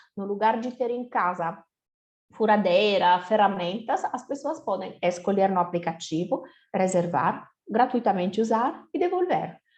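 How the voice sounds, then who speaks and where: A woman talks at a fairly slow pace with an Italian accent. Her pitch swings very widely against a quiet background. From Italy. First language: Italian (speaking Portuguese). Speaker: company co-founder. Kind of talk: lecture.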